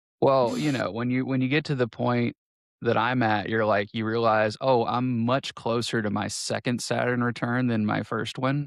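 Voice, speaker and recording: Over a quiet background, a man talks. His pace is moderate and his pitch medium. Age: 40s. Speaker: podcast co-host. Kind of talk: casual chat. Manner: halting, many false starts.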